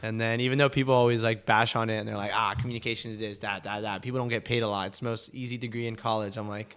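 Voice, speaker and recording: A man's medium-pitched, monotone, flat delivery at a very fast pace with hardly any pauses. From Colombia. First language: Spanish. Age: 20s. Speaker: recent communications graduate, aspiring musician. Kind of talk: casual chat. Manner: talkative.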